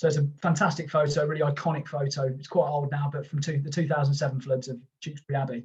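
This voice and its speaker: Somewhat breathy and fairly high-pitched, a man speaks at a very fast pace. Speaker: geography lecturer. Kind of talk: lecture. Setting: live online stream. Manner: fast when excited.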